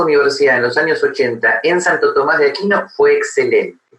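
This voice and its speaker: A man speaks at a moderate pace. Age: 60s. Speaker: philosophy professor. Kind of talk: interview. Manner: halting, many fillers.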